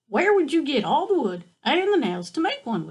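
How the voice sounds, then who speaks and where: A woman uses a put-on character voice, pitched high and swinging very widely, at a moderate pace. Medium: read story.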